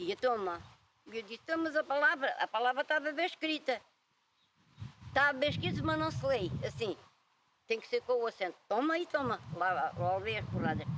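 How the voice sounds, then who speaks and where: At a moderate pace, a woman speaks with very wide pitch swings and long, frequent pauses. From Portugal, Alentejo (Évora area). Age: 80s+. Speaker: retired farm worker. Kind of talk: oral history interview.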